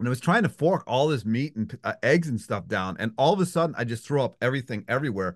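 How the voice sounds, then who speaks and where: Against a quiet background, a man with an American accent talks very fast with vocal fry and lively intonation. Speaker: podcast host. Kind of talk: casual interview.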